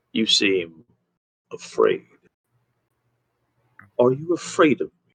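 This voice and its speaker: A man uses a put-on character voice with a menacing tone, talking at a fairly slow pace. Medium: actual play. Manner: slow, menacing.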